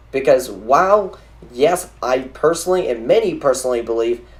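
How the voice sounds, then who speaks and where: At a moderate pace, the talking continues while music runs in the background. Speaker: gaming youtuber. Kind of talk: video game commentary. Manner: stuttering, halting.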